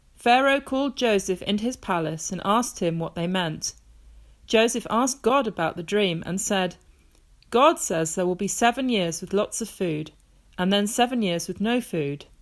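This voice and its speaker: A woman speaks in an unremarkable speaking voice at medium pitch and a moderate pace. Her intonation is lively, and the recording is very clean with a silent background. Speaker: grandmother reading a Bible story to children. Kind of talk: children's Bible story reading, bedtime reading.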